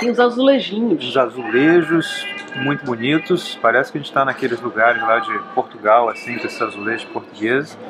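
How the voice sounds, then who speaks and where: A man talks at a moderate pace over clear music in the background. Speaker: travel vlogger. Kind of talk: casual vlog chat. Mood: relaxed, pleased. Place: cafe. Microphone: phone near.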